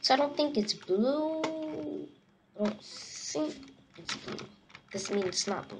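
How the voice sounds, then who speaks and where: Over noticeable background noise, a woman with a fairly high pitch speaks at a very slow pace. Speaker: gaming youtuber. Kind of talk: casual gameplay commentary. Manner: animated, joking.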